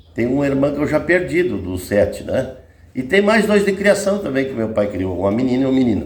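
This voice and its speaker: Amid audible room echo, a man talks at a fairly quick pace and medium pitch, with very wide pitch swings. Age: 60s. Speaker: rancher telling family stories. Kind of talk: casual interview.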